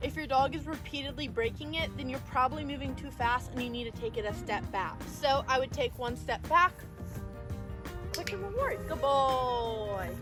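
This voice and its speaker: A woman at a moderate pace, with music playing in the background. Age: 20s. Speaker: dog trainer. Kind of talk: tutorial. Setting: outdoors.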